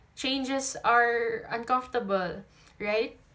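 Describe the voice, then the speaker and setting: At a very slow pace, a woman with a high pitch speaks in a monotone, flat intonation. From Philippines. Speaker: tarot reader. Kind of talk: tarot reading to camera. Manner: casual, chatty.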